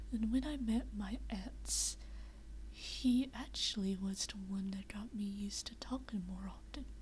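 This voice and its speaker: Someone soft-spoken talks at a fairly slow pace. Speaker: VRChat streamer. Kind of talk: casual chat.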